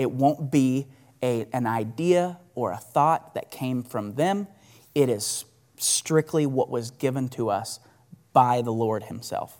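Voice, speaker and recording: In a very clean recording with a silent background, a man at medium pitch talks very slowly with ordinary pitch variation. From Oklahoma, US. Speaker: lay church member filling in for pastor. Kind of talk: testimony.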